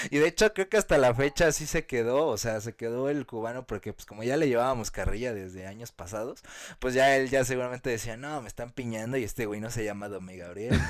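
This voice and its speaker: A man speaks very fast at a medium pitch, with hardly any pauses and ordinary pitch variation. His loudness swings widely in a very clean recording with a silent background. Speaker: podcast co-host. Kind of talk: casual chat. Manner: animated.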